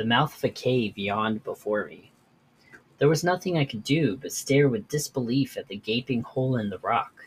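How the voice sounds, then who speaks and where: His voice is somewhat breathy. The man speaks at medium pitch with ordinary pitch variation. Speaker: podcast host. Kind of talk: horror story narration, read aloud from a written tale.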